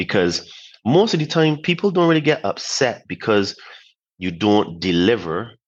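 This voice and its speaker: At a moderate pace, a man speaks at a medium pitch with very wide pitch swings. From Barbados. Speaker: former civil engineer, podcast guest. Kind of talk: interview.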